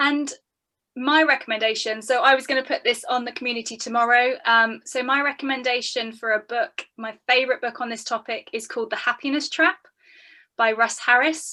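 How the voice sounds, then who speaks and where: Bright and sharp in tone, a woman's high-pitched voice moves at a fairly quick pace. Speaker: business psychologist and mindset coach. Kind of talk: online workshop Q&A. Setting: video call. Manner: animated.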